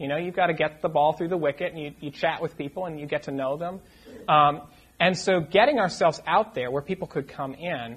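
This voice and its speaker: The voice carries an American accent. Its pitch variation is ordinary. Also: man. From US New England, Lincoln, Massachusetts near Boston. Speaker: curate, church trainee. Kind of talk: casual interview before a church audience. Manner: halting, repeated words.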